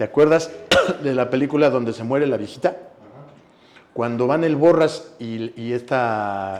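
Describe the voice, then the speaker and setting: A man with a Mexican accent speaks at a fairly slow pace. He leaves long, frequent pauses over noticeable background noise. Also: medium pitch for a man, ordinary pitch variation. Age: 60s. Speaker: actor. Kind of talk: interview conversation.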